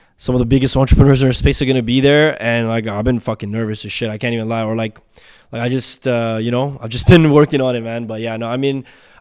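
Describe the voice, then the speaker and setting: In a very clean recording with a silent background, a man with a Canadian accent talks at a very fast pace, his medium-pitched voice fairly even in intonation. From Nepal (Bhaktapur), raised in Toronto, Canada. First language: Nepali. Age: 20s. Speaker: entrepreneur. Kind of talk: casual chat.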